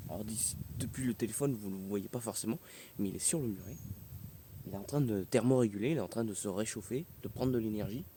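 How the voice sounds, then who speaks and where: Soft-spoken and fairly low-pitched, a man talks at a very fast pace with ordinary pitch variation and long, frequent pauses. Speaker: nature YouTuber. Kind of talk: nature documentary narration. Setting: outdoors.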